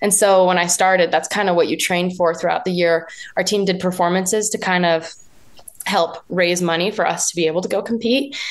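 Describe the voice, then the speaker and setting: Someone talks at a moderate pace in a normal speaking voice. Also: woman. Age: young. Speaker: professional jump roper. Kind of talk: interview.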